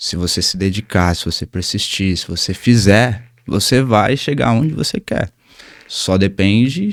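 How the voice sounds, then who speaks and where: A soft-spoken man talks at a fairly slow pace, his pitch medium. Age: 20s. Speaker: Muay Thai instructor. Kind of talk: interview. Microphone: mic raised because he speaks quietly.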